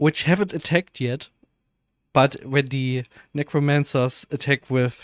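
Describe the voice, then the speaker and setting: A man with a German accent speaks at a fairly slow pace with long, frequent pauses, a fairly high pitch and fairly even intonation. The recording is very clean and dry, close with no echo, over a silent background. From Germany. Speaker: video game streamer. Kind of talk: live gameplay stream commentary. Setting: live stream. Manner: casual, hesitant with fillers.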